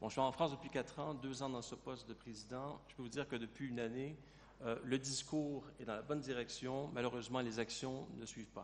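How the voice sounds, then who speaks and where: This man talks fairly quickly in a medium pitch, his intonation monotone and flat. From Canada. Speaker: company president. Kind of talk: panel discussion.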